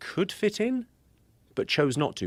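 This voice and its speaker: Recorded very cleanly against a silent background, a man with a British accent talks at a fairly quick pace in a dry, close sound with no echo. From Britain. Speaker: comedian. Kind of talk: podcast conversation.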